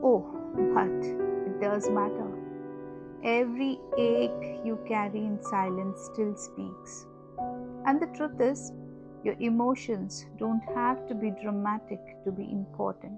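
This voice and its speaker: A woman speaks at a very slow pace in a gentle, soothing tone, with long, frequent pauses and music playing in the background. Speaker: podcast host for homemakers. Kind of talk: gentle guided voice note, emotional validation talk. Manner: soft, slow, gentle, soothing.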